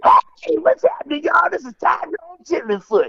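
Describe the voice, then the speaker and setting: An extremely high-pitched, put-on character voice carries the whole clip. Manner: friendly, jokey.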